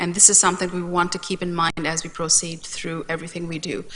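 Very fast speech from a woman over noticeable background noise. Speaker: community agency representative. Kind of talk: council presentation.

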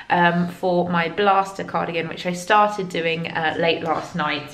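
The voice has a fairly bright tone, with audible room echo around it. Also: woman.

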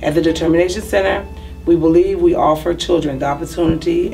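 A woman talks rather quickly while music plays behind her. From Mississippi. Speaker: after-school program founder. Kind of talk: promotional program description.

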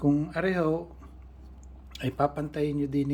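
Fairly high-pitched and somewhat breathy, a man speaks at a fairly slow pace. His intonation is fairly even. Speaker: balisong knife restorer and channel host. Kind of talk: tutorial.

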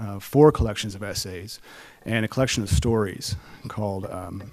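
In a quiet setting, a man speaks at a moderate speed, his pitch varying in an ordinary way. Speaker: event host. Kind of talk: stage introduction. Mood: warm, lightly humorous. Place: stage. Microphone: podium.

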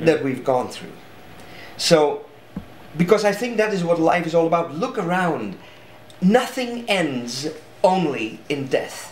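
A man with a high pitch and a strong Dutch accent, very wide pitch swings, a fairly slow pace with long, frequent pauses, audible room echo and light background noise. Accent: thick Dutch. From Netherlands. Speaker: artist and speaker. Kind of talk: interview answer. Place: home room.

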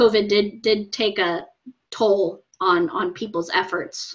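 A woman at a fairly slow pace, with ordinary pitch variation, against a quiet background. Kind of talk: interview answer. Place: home room. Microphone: video call.

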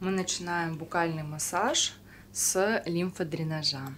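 Soft-spoken and very deep-voiced, a woman talks at a very slow pace with ordinary pitch variation over light background noise. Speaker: masseuse and esthetician. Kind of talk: educational face massage tutorial narration. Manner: soft-spoken, slow.

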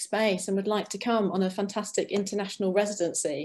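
The voice has a dark, mellow tone. The pace is very fast. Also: woman. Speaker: arts venue representative. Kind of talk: webinar presentation. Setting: video call. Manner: animated.

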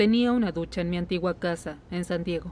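A woman speaks in a somewhat breathy, fairly low voice with a dark, mellow tone. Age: 30s. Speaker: patient. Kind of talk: medical consultation, personal testimony (Spanish dub). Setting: doctor's office.

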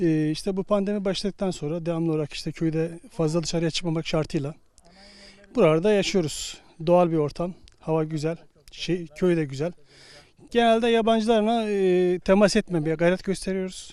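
High-pitched male speech, dark and mellow in tone, at a moderate pace with ordinary pitch variation. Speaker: retiree. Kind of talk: street interview. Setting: outdoors.

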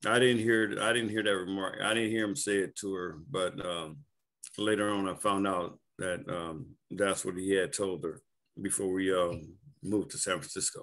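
Against a quiet background, a man with an American accent speaks at a moderate pace and fairly low pitch, with ordinary pitch variation. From US South. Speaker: cult survivor. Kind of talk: interview. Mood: calm, reflective. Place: home room. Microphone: video call.

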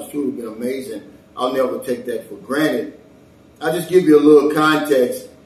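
A man talks at a fairly quick pace with lively intonation. Room echo is audible. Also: big swings in loudness. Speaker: expat vlogger. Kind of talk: casual talk to camera. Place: home room. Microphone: camera far.

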